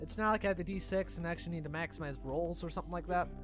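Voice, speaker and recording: Music plays in the background. A man speaks over it at a very fast pace. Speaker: gaming YouTuber. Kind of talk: casual let's play commentary.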